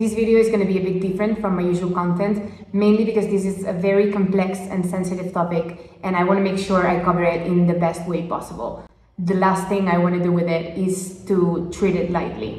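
A woman's monotone, flat voice at a fairly quick pace, with audible room echo and light background noise. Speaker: travel vlogger. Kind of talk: casual vlog chat. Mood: earnest, thoughtful. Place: home room. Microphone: phone near.

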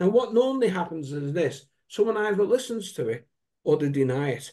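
In a dark, mellow tone, a man's voice moves through very wide pitch swings. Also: quiet background. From UK. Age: 60s. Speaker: wellbeing coach. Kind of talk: casual chat. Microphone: video call.

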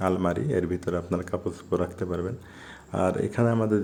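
Here the intonation stays fairly even. The man's pitch is very deep and low. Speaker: travel vlogger. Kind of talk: travel vlog narration. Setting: on a bus while travelling.

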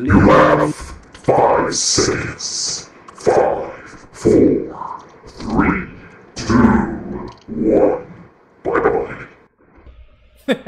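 Using a raspy, extremely high-pitched put-on character voice, a man talks at a very slow pace with long, frequent pauses amid strong echo. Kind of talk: announcer style. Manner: dramatic, epic.

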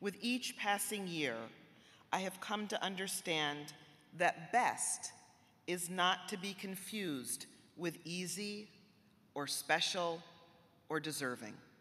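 A woman's bright, sharp voice with an American accent, very slow pace and long, frequent pauses. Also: ordinary pitch variation. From Massachusetts, US. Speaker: college president. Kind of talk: formal speech. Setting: auditorium with audience. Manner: formal. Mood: earnest, measured. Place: hall. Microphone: podium.

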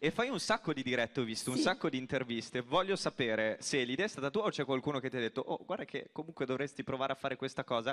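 Over a quiet background, a man talks at a very fast pace with hardly any pauses. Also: ordinary pitch variation. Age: 20s. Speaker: radio presenter. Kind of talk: stage interview. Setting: stage with audience. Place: stage. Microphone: handheld.

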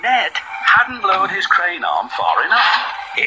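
This is a plain reading aloud.

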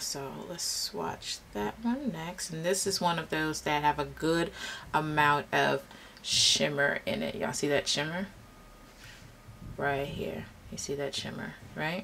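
A woman speaks at a fairly slow pace. Light background noise can be heard. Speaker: beauty vlogger. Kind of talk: casual makeup review tutorial. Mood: relaxed, amused by interruptions. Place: home room. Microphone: phone near.

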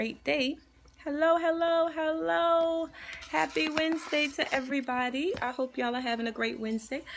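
Noticeable background noise runs under this recording. A woman with a high pitch speaks at a moderate pace. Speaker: life coach. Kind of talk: casual live-stream encouragement talk. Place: office. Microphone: phone near.

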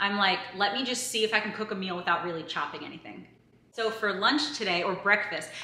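Audible room echo on a woman's fairly quick delivery. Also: ordinary pitch variation. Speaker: vlogger. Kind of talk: casual vlog chat. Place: kitchen. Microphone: camera far.

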